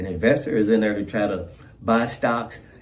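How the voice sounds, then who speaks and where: A man talks at a moderate pace with a fairly low pitch. Audible room echo hangs around his voice. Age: 60s. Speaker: trading video creator. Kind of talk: casual vlog monologue. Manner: repetitive, stammering.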